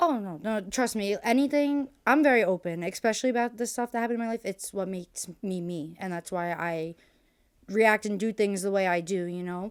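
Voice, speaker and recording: A woman with a plain, everyday voice, medium pitch, an American accent and ordinary pitch variation, at a fairly quick pace on a very clean recording with a silent background. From US Northeast. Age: 20s. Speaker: podcast guest. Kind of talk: casual interview conversation.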